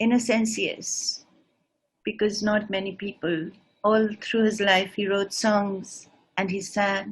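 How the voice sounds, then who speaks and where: A woman's somewhat breathy, medium-pitched voice at a very slow pace, with monotone, flat intonation. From northeast India (Shillong). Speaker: singer and writer. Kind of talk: lecture demonstration. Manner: halting.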